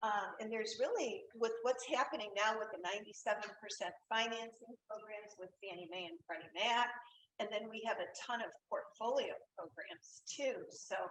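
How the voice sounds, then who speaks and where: Lively intonation and big swings in loudness from a woman's fairly high voice at a moderate pace. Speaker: mortgage lender. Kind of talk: webinar presentation.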